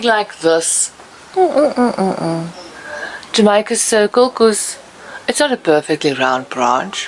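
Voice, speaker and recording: A woman with a non-native accent and very wide pitch swings, amid noticeable background noise. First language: not English. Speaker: DIY and garden video maker. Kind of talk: hands-on tutorial. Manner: hesitant, with frequent fillers.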